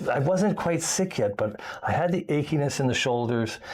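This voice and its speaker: With noticeable background noise, a man talks at a fairly quick pace using lively intonation. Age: 60s. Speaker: expat video blogger. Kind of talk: casual chat. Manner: halting, many fillers.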